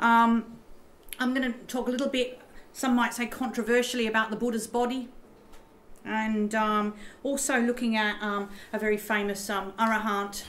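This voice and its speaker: In an Australian accent, a woman speaks at a fairly high pitch and a moderate pace, in a monotone, flat intonation with long, frequent pauses and audible room echo. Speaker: professor. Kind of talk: lecture. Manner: halting, many fillers.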